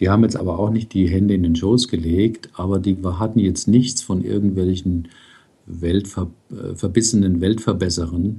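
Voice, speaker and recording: At a moderate pace, a man speaks in a very deep, low pitch with a dark, mellow tone that is somewhat breathy. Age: 60s. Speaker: psychotherapist and blogger. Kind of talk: interview. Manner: hesitant with fillers.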